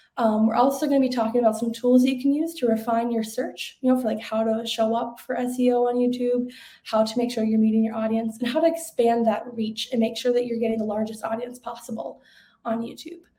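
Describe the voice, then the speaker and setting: A woman talks at a very fast pace with fairly even intonation. Her voice is fairly high, with a dark, mellow tone. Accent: Minnesota. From Minnesota, US Upper Midwest. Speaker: webinar presenter, marketing manager. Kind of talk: webinar presentation.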